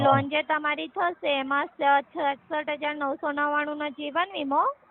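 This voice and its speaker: High pitch from a woman, her intonation fairly even. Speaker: bank loan officer. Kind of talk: call-centre sales call. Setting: phone line.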